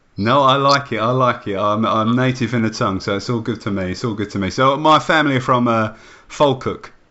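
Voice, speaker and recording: With an English accent, a man speaks at a fairly quick pace and a medium pitch. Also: ordinary pitch variation. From England. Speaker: wrestling podcast host. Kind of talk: casual interview.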